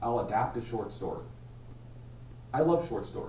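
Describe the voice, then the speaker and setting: A man speaks at a medium pitch and moderate pace, with ordinary pitch variation. There is noticeable background noise and audible room echo. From Alaska. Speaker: Toastmasters club member. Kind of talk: prepared speech. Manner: loud.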